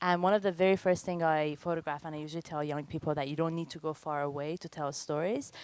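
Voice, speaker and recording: A woman with a Persian accent talks at a very fast pace with hardly any pauses, at a very deep, low pitch and fairly even intonation. The recording is very clean, with a silent background. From Iran, moved to Canada as a teenager. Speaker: photographer. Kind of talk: lecture.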